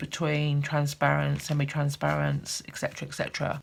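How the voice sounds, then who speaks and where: A woman speaks with a British accent. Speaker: art teacher. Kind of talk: tutorial. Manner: slow.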